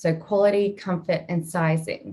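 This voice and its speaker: Speaking fairly slowly at a medium pitch, a woman has a dark, mellow tone that is somewhat breathy, with ordinary pitch variation. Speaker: marketing executive. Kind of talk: webinar presentation.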